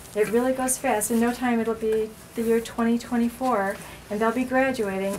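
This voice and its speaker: Noticeable background noise sits behind the recording. A woman speaks at a moderate pace with fairly even intonation. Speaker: school nurse. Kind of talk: informational talk to parents.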